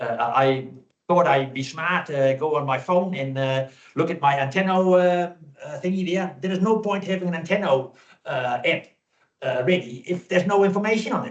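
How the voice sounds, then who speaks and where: In a New Zealand accent, a man talks loudly at a moderate pace, his voice high-pitched with ordinary pitch variation. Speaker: public submitter at council hearing. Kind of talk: public submission. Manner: halting.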